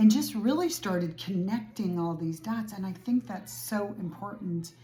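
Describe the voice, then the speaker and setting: A woman's plain, everyday voice, with lively intonation at a fairly slow pace. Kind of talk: casual talk to camera.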